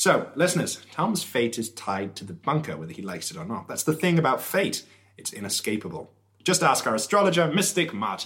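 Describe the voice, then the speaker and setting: A man with a fairly high pitch and vocal fry talks at a fairly quick pace. His pitch swings very widely, and his loudness shifts in big swings. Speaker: radio host. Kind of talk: radio dj patter, mock-serious satirical. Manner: animated, sarcastic.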